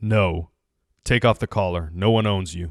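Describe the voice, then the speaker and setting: Recorded very cleanly with a silent background, a man uses a put-on character voice that is growling and guttural, with a very deep, low pitch at a moderate pace. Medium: read story. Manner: commanding.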